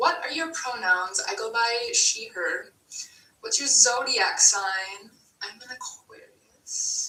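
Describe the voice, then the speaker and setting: The speaker has an American accent and moves at a very slow pace. The pitch swings very widely and the loudness rises and falls sharply. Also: woman, high pitch for a woman. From Wisconsin. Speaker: vlogger. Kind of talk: Q&A vlog. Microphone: no microphone, poor audio.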